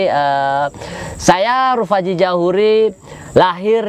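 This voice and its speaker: Speaking at a very slow pace, a man with a high-pitched voice shows ordinary pitch variation in a dry sound with no echo. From Cilegon, Banten, Indonesia; Banten, Indonesia. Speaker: local politician. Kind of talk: interview. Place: open country. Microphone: lapel.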